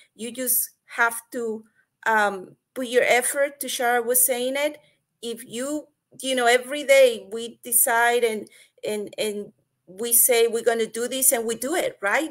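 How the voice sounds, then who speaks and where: A woman with a Spanish accent speaks in a high pitch. Her pace is fairly slow and her intonation fairly even. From Mexico. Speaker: online business partner. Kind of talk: webinar testimony.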